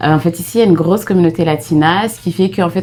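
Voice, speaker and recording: Noticeable background noise sits behind a woman's voice. She speaks at a fairly low pitch and a fairly quick pace. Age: 30s. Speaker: vlogger, mother. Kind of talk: casual chat.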